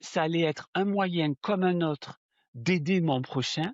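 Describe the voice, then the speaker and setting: The speaker talks at a fairly slow pace with a southern French accent. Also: man. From southern France. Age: 60s. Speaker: spiritual medium. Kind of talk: interview. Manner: hesitant, with fillers and repetitions.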